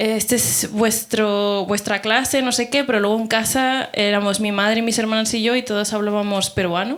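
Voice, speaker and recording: A woman talks at a fairly slow pace in a fairly high voice. Her intonation is monotone and flat. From Peru (Lima), moved to Barcelona at 11. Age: 30s. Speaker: panel participant, writer. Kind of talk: panel discussion before live audience. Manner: casual, many fillers and self-corrections.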